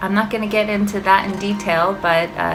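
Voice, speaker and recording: A woman at a moderate pace with fairly even intonation, music in the background and audible room echo. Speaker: teacher. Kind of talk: motivational talk to students. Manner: monotone; hesitant, with fillers.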